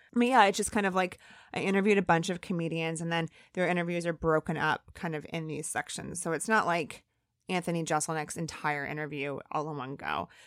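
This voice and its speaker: In a very clean recording with a silent background, a woman with an American accent speaks very fast at a fairly low pitch with ordinary pitch variation. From US Midwest, northern Indiana. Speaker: comedy producer and author. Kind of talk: interview.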